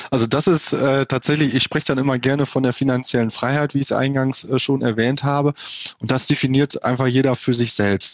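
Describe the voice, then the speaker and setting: This man's pitch is medium, and his pace is fairly quick. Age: 30s. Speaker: wealth advisor. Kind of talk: interview. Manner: hesitant with filler sounds.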